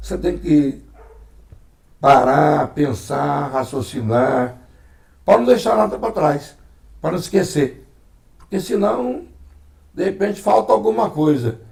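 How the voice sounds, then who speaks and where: Using vocal fry and very wide pitch swings, a man with a fairly high pitch talks at a very slow pace with long, frequent pauses. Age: 60s. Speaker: former mayor and broadcaster. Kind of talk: interview. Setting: at home.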